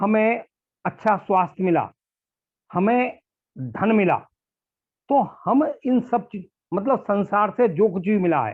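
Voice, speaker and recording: A man with a high-pitched voice speaks with long, frequent pauses. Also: ordinary pitch variation. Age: 60s. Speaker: retired bank manager and yoga trainer. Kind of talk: interview.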